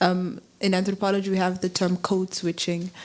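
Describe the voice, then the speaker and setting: A woman speaks with a South African accent. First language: Afrikaans. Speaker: audience member. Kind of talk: audience comment.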